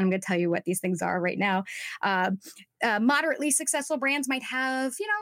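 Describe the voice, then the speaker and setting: Delivered with an American accent, the voice has lively intonation and a dry, close sound with no echo. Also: woman. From Southern California (Orange County). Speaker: social media coach for actors. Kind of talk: interview.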